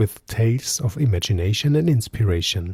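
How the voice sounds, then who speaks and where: Speaking slowly-ish at a fairly slow pace, a man with a German accent uses a fairly low pitch and lively intonation, his somewhat breathy voice dark and mellow in tone, with a dry, close sound and no echo. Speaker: podcast host and storyteller. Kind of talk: podcast introduction.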